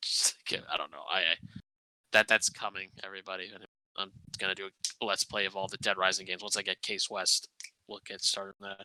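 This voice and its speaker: A man speaks quietly at a fairly quick pace in a fairly low pitch, his bright, sharp tone held to a flat monotone, with big swings in loudness and long, frequent pauses. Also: dry, close sound with no echo. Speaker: streamer and podcast host. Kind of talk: casual chat. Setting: at home while others sleep. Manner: quiet, holding back volume.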